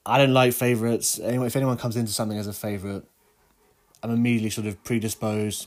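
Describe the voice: Fast and nasal, a man talks at a fairly low pitch with little pitch movement. His tone is slightly mellow.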